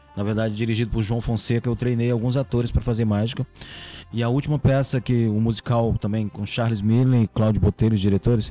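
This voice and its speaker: A man talks at a very fast pace and a medium pitch. His intonation is monotone and flat. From Ceará, Brazil (Catunda). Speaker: magician and comedian. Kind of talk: casual chat.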